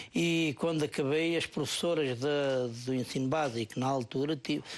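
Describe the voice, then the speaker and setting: A man talks with a central Portuguese accent and a fairly high pitch. His pitch varies in an ordinary way over a quiet background. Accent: European Portuguese, Ribatejo. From Portugal, Ribatejo. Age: 50s. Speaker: parish council president. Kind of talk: TV interview.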